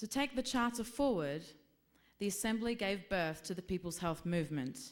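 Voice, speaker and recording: Lively intonation from a woman with an Australian accent, medium pitch and a moderate pace. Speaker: health activist presenting a report. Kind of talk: conference presentation. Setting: conference with slides.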